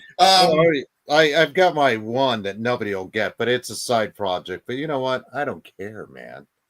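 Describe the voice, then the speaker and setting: This man talks at a moderate pace with hardly any pauses, in a normal speaking voice of medium pitch, with lively intonation and big swings in loudness. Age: 50s. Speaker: podcast panelist. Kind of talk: casual chat.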